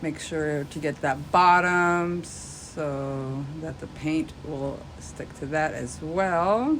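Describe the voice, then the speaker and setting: Audible room echo surrounds a woman with a very deep, low pitch. She talks at a very slow pace with ordinary pitch variation. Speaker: craft tutorial youtuber. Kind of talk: tutorial. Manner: casual.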